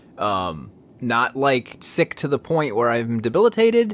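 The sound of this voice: Big pitch swings mark this man's medium-pitched voice as he talks at a slow pace.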